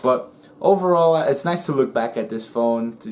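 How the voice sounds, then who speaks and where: A man mumbles at a fairly quick pace. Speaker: tech YouTuber. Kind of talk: casual tech review vlog. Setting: indoors in bedroom at home. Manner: mumbling; stutter at times.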